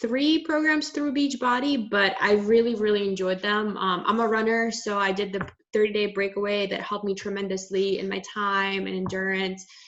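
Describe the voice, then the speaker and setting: Noticeable background noise fills the clip. A woman talks at a moderate pace. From Russia, moved to Maryland at eleven. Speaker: farmer and fitness program participant. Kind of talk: casual chat.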